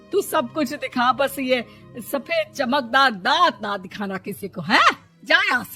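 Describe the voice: A put-on character voice, bright and sharp, with a slightly husky edge, lively intonation and a fairly slow pace over faint background music. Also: woman, high pitch for a woman.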